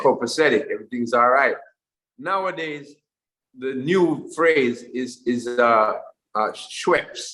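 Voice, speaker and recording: A man's fairly high, bright and sharp-toned voice at a very slow pace, with long, frequent pauses and ordinary pitch variation. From Jamaica. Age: 40s. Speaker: musician. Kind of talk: interview answer. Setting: video call.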